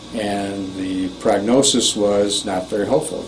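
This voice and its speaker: A man talks in a fairly low, monotone, flat voice. Audible room echo and noticeable background noise fill the recording. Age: 60s. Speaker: patient giving testimonial, tennis coach. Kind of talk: testimony. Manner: halting.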